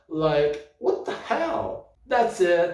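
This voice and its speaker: A man with a non-native accent talks at a high pitch and a very slow pace, his pitch swinging very widely, with audible room echo. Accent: non-native English speaker. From Brazil. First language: Portuguese. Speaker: book vlogger. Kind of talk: casual book review rant. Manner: halting, repeating words.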